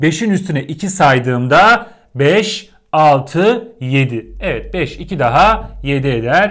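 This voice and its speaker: A man's voice swings very widely in pitch over a quiet background. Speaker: teacher. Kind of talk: lecture. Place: home room. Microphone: lapel.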